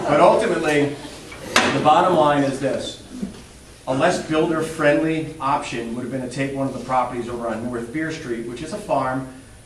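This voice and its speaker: A man with an American accent speaks at a fairly high pitch, with ordinary pitch variation and big swings in loudness, over noticeable background noise and audible room echo. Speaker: local election candidate. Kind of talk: candidate debate. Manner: fast.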